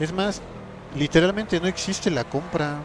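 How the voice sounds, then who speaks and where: A man speaks in an animated tone. His voice is somewhat breathy. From Mexico, rural. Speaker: gaming streamer. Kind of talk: live gameplay stream chat. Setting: live stream.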